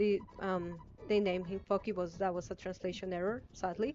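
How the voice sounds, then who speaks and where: The speaker is a woman with a non-native accent. Her pitch variation is ordinary. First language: not English. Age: 20s. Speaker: gaming streamer. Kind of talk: live gameplay stream commentary. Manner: halting, many fillers.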